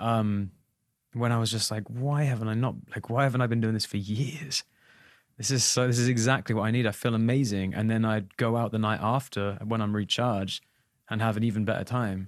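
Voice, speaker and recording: In a very clean recording with a silent background, a man speaks with an English accent at a fairly quick pace. His pitch is medium and his intonation fairly even. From England. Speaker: touring musician and podcast co-host. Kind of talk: casual chat.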